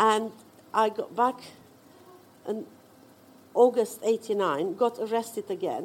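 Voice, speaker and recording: Speaking very slowly, a woman with a Romanian accent leaves long, frequent pauses. Her fairly high voice has lively intonation. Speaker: visual artist and writer. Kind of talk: personal storytelling. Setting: stage with audience.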